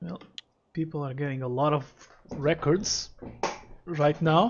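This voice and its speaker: Somewhat breathy and fairly high, a man's voice moves at a fairly slow pace with ordinary pitch variation and big swings in loudness. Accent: non-native. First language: not English. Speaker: gaming streamer. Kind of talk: live stream commentary. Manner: casual, thinking aloud.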